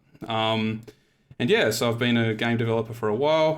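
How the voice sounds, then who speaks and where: A man with an Australian accent speaks at a moderate pace, his fairly low pitch moving with ordinary variation. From Tasmania, Australia. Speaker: game developer, panel moderator. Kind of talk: panel discussion.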